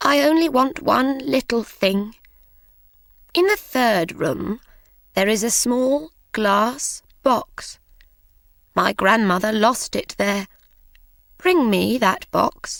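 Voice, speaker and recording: Using a put-on character voice, a woman talks very slowly at a fairly high pitch with lively intonation, very even loudness and long, frequent pauses. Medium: read story.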